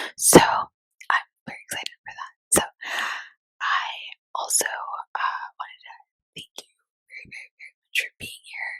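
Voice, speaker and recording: Someone whispers at a moderate pace, leaving long, frequent pauses. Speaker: ASMR content creator. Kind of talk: ASMR whisper chat. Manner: whispering; soft-spoken.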